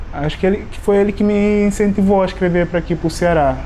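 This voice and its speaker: There is audible room echo as a man speaks. Noticeable background noise is present too. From Guinea-Bissau. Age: 30s. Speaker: immigrant, chemical engineer, graduate student. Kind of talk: documentary interview. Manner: hesitant, many fillers.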